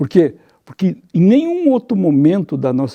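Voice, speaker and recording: A man speaking at a moderate pace. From southern Brazil, Rio Grande do Sul (Santa Cruz). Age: 60s. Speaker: journalist. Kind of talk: interview. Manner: animated, conversational.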